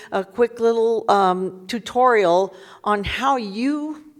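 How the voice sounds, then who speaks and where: There is noticeable background noise as a woman with an American accent speaks in an animated tone with ordinary pitch variation. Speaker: community activist panelist. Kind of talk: panel presentation tutorial. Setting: museum panel with audience, microphone. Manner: animated, conversational.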